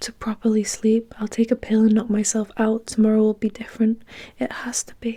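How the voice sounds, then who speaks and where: A soft-spoken voice whispering. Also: woman. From UK. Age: 20s. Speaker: ASMR creator. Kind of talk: first-person novel narration, reflective and sad. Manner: soft-spoken, whispery, relaxing.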